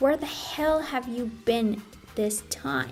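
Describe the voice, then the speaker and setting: Over music in the background, a woman puts on a character voice, fairly high-pitched and angry in tone, with a hissing edge. She speaks at a fairly slow pace with lively intonation. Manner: hissing, angry.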